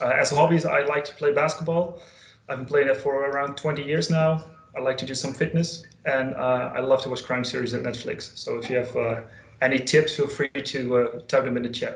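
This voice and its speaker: A man speaks at a fairly quick pace with a Dutch accent. His intonation is fairly even, and there is audible room echo. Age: 20s. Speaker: data consultant and trainer; trainer. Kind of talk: online training session. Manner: halting, many fillers. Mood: friendly, relaxed. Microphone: video call.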